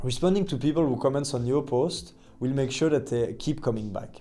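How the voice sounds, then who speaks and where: Speaking at a fairly quick pace with a non-native accent, a man has a medium pitch, ordinary pitch variation and a dark, mellow tone. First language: not English. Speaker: agency owner and LinkedIn content creator. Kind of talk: tutorial.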